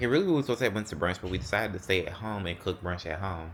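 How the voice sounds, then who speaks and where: This man has an animated tone. His pitch varies in an ordinary way. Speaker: lifestyle vlogger. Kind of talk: casual vlog chat. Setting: at home, closet.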